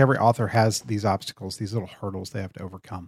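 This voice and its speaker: Fairly quick in pace, a man talks with a Texan accent. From Central Texas. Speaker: podcast host. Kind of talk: interview. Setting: in-person studio recording.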